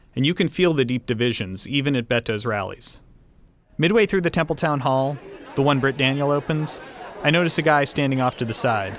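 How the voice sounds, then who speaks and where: A man speaks at a fairly quick pace in an American accent, with a fairly high pitch and ordinary pitch variation. It is an ordinary speaking voice. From Texas. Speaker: podcast host and reporter. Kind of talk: narrated documentary reporting.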